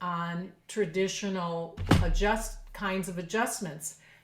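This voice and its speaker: A woman's medium-pitched voice holds fairly even intonation, with audible room echo around it. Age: 60s. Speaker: professional clarinetist. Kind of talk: podcast interview.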